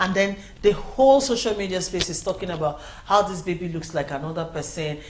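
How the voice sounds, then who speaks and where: A woman with a Nigerian accent speaks at medium pitch with ordinary pitch variation, with audible room echo and noticeable background noise. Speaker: news show host. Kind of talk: news commentary.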